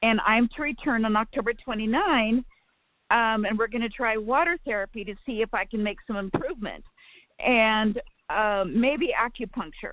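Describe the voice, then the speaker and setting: A woman's unremarkable speaking voice, fairly high in pitch, with ordinary pitch variation and a moderate pace. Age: 60s. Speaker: caller. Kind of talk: phone-in question.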